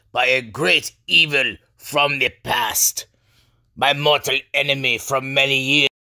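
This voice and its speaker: A man in a put-on character voice speaks at a medium pitch and a fairly slow pace, with monotone, flat intonation and very even loudness. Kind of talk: legend storytelling. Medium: comedy sketch. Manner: solemn, grave.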